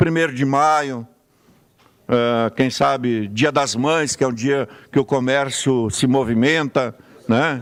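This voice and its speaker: Speaking at a very slow pace with long, frequent pauses, a man keeps his loudness very even and his intonation fairly even at a medium pitch. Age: 60s. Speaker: city councillor. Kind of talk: parliamentary speech.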